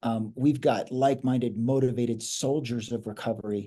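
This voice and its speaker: At a moderate pace, a man with an American accent talks in a dark, mellow tone. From New York City. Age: 60s. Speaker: addiction treatment entrepreneur. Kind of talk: interview. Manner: halting, repeats words.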